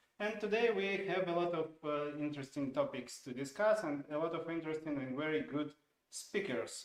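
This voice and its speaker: A man with a Russian accent and a fairly high pitch talks at a moderate pace with ordinary pitch variation, and room echo is audible. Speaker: software product owner, stream co-host; show host. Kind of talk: informal live stream webinar. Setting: studio live stream. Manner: halting, many fillers. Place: studio.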